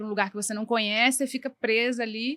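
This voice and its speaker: A woman's bright, sharp voice at a fairly quick pace. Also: dry, close sound with no echo. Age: 40s. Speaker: designer. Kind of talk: interview.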